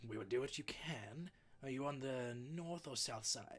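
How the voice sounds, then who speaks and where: The man uses a put-on character voice at a medium pitch. He keeps a moderate pace. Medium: actual play. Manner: terse, formal.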